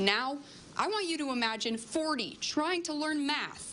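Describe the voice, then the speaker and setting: Noticeable background noise behind a woman speaking with ordinary pitch variation. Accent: American. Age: 20s. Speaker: TV news reporter. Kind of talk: TV news field report.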